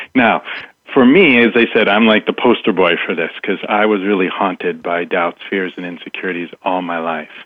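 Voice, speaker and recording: A man talks in an ordinary speaking voice at a fairly low pitch. His pace is moderate and his pitch variation ordinary. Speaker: mindset coach. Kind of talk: radio interview.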